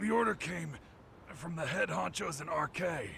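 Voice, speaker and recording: Putting on a raspy character voice, a man speaks at a high pitch with ordinary pitch variation and a moderate pace over clear background noise. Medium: video game. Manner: casual, slangy.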